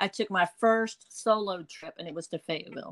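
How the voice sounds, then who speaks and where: This woman speaks in an Eastern North Carolina accent at a medium pitch and a moderate pace. Her pitch varies in an ordinary way, and the sound is dry and close with no echo. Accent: Eastern North Carolina Southern. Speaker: blogger. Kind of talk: casual interview.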